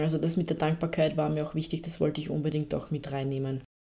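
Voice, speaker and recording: A woman is speaking. Her tone is dark and mellow. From Austria. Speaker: podcast host, personal development coach. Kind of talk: casual monologue, self-help talk.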